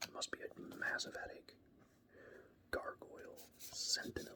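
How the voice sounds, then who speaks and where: Someone whispers at a very slow pace in a relaxed tone. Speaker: ASMR creator. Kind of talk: ASMR casual rambling while showing cards. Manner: soft-spoken, relaxed; hesitant with fillers.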